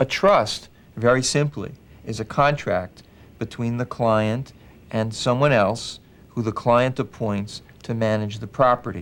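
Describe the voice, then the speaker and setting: At a fairly slow pace, a man speaks with an ordinary speaking voice. His pitch is medium, with ordinary pitch variation. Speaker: elder law attorney. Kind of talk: explanatory talk to a client.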